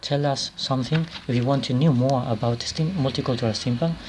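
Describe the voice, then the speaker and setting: At a moderate pace, a man talks in a Spanish accent. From Spain. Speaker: author and anthology editor. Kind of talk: video presentation. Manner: halting, many repetitions and fillers.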